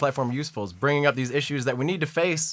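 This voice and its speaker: A man speaks loudly at a fairly quick pace, his fairly high voice bright and sharp. His pitch variation is ordinary. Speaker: political podcast co-host. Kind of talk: casual political debate. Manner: animated.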